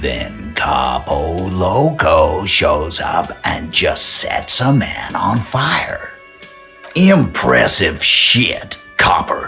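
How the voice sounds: Over faint music in the background, a man puts on a character voice at a very slow pace, low in pitch with vocal fry, a bright, sharp tone, and big pitch swings.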